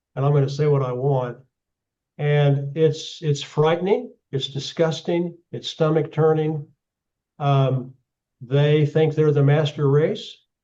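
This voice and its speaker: With an Oklahoma accent, a man speaks very slowly at a fairly high pitch, somewhat breathy, with fairly even intonation and a dark, mellow tone. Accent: Oklahoma American English. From US, Oklahoma. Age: 70s. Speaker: geopolitical analyst. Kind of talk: talk with audience Q&A. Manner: halting, many repeated words.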